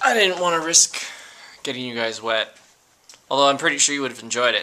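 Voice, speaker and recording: This voice belongs to a man. The rise and fall of his pitch is ordinary. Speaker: vlogger. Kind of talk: casual vlog. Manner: halting, many false starts.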